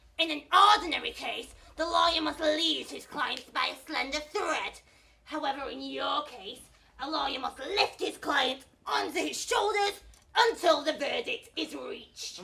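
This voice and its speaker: A put-on character voice with a theatrical tone, lively intonation and a moderate pace. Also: woman, high pitch for a woman. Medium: stage play. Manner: condescending, theatrical.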